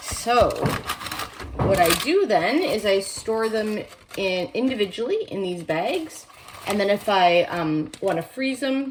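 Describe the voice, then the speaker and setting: Over noticeable background noise, a woman speaks very slowly with a fairly high pitch and lively intonation. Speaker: home cooking vlogger. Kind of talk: cooking tutorial. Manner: casual, hesitant with fillers.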